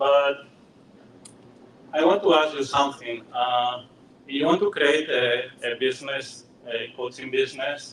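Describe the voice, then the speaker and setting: Amid noticeable background noise, a man speaks at a fairly slow pace with long, frequent pauses. His pitch is fairly high, with ordinary variation. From Spain, Madrid. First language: Spanish. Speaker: software engineer and business coach. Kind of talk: presentation. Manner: halting.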